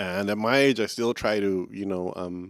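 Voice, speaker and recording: A man's fairly even intonation in a very clean recording with a silent background. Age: 50s. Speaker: podcast host. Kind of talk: casual chat. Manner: halting.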